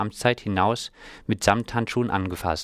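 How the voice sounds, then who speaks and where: The sound is dry and close, with no echo. A man talks at a moderate speed, his pitch varying in an ordinary way. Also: very clean recording, silent background. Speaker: news presenter. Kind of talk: news reading. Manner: formal, even, matter-of-fact newsreader delivery.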